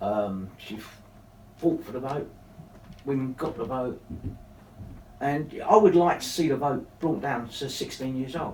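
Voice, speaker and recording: Over audible room echo, a man at medium pitch talks at a fairly slow pace with lively intonation, big swings in loudness, and long, frequent pauses. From East London (Dagenham). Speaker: town mayor and local councillor. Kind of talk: casual interview. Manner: hesitant, many fillers.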